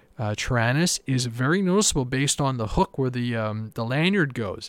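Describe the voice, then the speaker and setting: An unremarkable speaking voice with a Canadian accent, fairly quick pace and ordinary pitch variation, in a very clean, dry, close recording with a silent background and no echo. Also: man. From Canada. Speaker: RC aircraft hobbyist podcast host. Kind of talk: solo podcast monologue.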